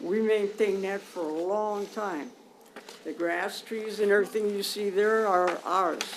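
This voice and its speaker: In an American accent, a woman at medium pitch talks fairly slowly with fairly even intonation, with audible room echo and noticeable background noise. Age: 80s+. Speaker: resident speaking at public comment. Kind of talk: public comment at council meeting. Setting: council chamber.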